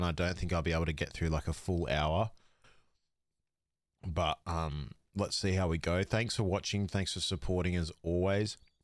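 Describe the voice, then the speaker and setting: A man's very deep, low voice with an Australian accent, at a moderate pace, with ordinary pitch variation, on a very clean recording with a silent background. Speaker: fantasy sports podcaster. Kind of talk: casual podcast monologue.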